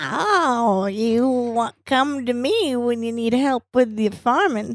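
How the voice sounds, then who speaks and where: In a put-on character voice, a female-sounding voice speaks at a very slow pace with a high pitch. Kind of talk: prophetic. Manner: solemn, mystical.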